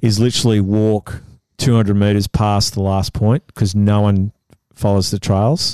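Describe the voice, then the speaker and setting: Against a quiet background, a man with an Australian accent speaks at a fairly low pitch in a dark, mellow tone, with monotone, flat intonation and very even loudness, the sound dry and close with no echo. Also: moderate pace. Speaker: photographer. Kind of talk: casual chat.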